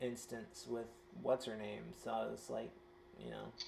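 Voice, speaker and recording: A man with a Southern US accent at a moderate pace. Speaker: tabletop game player. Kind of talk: casual chat.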